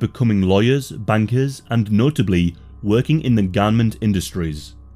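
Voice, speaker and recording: Music plays in the background as a man talks at a moderate pace. His pitch is fairly low, with lively intonation. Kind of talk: history documentary narration. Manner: measured, grave, steady narrator pacing; formal, matter-of-fact, sombre delivery.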